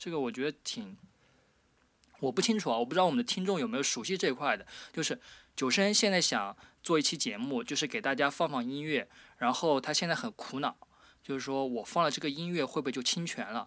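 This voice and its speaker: A man talks at a very fast pace in a fairly high voice. His tone is bright and sharp, and his pitch swings very widely. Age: 20s. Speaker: podcast host. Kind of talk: casual chat; scripted narration. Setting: remote call.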